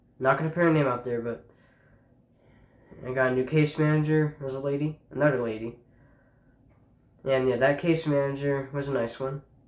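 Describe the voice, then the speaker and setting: There is audible room echo around the voice. A man talks at a moderate pace. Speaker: high school student vlogger. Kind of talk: casual personal account to camera. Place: home room. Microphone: phone near.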